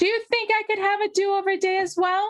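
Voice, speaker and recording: A woman's squeaky, put-on character voice at an extremely high pitch, fairly quick and monotone, with flat intonation and very even loudness. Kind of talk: bedtime story. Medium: read story. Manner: warm, soft, kindly.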